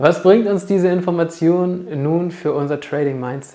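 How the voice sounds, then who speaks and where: A woman talks fairly slowly at a fairly low pitch, with ordinary pitch variation. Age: 30s. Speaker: trading mindset coach and podcast host. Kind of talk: solo podcast monologue, explanatory.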